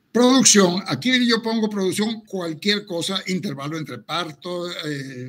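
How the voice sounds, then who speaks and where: This man's voice is high-pitched, with a bright, sharp tone. He speaks fairly slowly with lively intonation. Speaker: veterinarian, cattle genetics expert. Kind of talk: lecture with slides.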